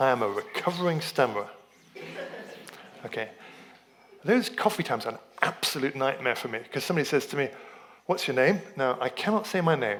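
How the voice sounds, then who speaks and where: A man with a fairly high pitch talks at a fairly quick pace, taking long, frequent pauses, his pitch swinging very widely. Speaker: lay preacher and dentist. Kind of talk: sermon. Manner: halting.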